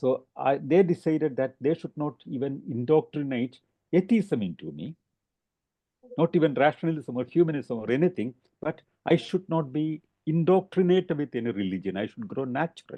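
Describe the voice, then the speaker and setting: Speaking in a Keralan accent at a moderate pace, a man has fairly high pitch and lively intonation. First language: Malayalam. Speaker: rationalist speaker. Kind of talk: talk. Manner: halting.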